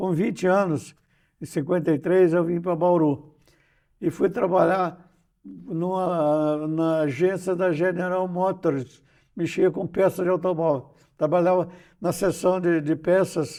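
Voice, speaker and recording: A man with a high-pitched voice speaks at a fairly slow pace. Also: very clean recording, silent background. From Brazil, Rio de Janeiro state countryside (São Fidélis). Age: 90s. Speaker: poet, journalist and retired professor. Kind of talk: interview, life story. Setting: interview on a church channel. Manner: halting, frequent repetitions.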